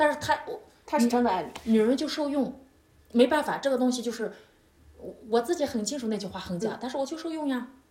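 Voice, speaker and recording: A woman speaks at a very fast pace with a high pitch and lively intonation. Her tone is animated, broken by long, frequent pauses. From China. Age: 30s. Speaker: yoga instructor. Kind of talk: casual interview.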